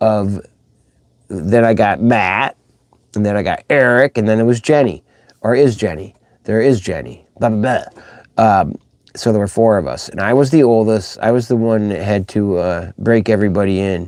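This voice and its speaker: A man with an ordinary speaking voice and fairly low pitch talks at a moderate pace, his pitch varying in an ordinary way. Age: 60s. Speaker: children's musician and livestream host. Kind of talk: casual livestream chat. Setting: live stream. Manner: rambling, informal.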